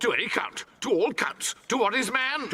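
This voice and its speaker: Putting on a theatrical character voice, a man speaks at an extremely high pitch, a moderate pace and a very even loudness. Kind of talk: classical stage verse drama. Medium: stage play. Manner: blustering, theatrical.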